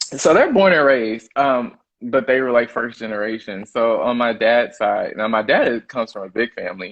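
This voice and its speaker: A man with a Southern US accent talks with hardly any pauses. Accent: Southern drawl and twang. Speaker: chef. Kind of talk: interview. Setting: live stream. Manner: casual, filler-heavy.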